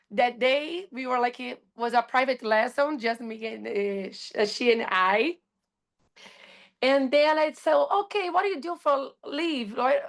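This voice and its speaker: A woman with a Brazilian accent, high in pitch, with lively intonation, big swings in loudness and a fairly slow pace, against a quiet background. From Brazil, Rio de Janeiro. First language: Portuguese. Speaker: astrologer and surf instructor. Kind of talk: casual podcast interview. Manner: halting, searching for words.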